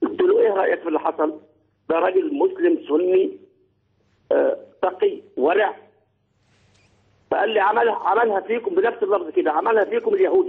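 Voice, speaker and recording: A man at an extremely high pitch with very wide pitch swings, a moderate pace, long, frequent pauses and very even loudness. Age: 60s. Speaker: caller. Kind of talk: phone-in talk show call.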